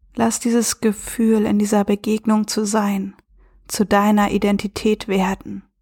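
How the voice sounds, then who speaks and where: In a somewhat breathy, dark, mellow voice with a calm, soothing tone, a woman speaks at a fairly slow pace with monotone, flat intonation and very even loudness. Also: medium pitch for a woman, dry, close sound with no echo. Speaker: self-love and relationship coach; podcast host. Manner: slow, calm and soothing with long pauses, gentle and warm; reflective, conversational, with filler words.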